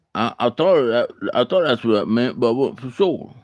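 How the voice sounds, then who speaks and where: Speaking at a fairly slow pace with an American accent, a man uses lively intonation at a medium pitch, in a dry, close sound with no echo. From Alabama. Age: 40s. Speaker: live streamer, bible study host. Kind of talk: casual live stream chat. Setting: live stream. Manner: halting, repetitive.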